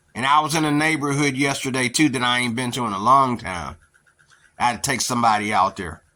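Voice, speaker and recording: A man at a very fast pace, medium in pitch with ordinary pitch variation, with an American accent and a bright, sharp tone. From western Pennsylvania, near Pittsburgh. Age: 50s. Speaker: YouTuber, social commentator. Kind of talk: casual monologue. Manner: rambling, filler-heavy.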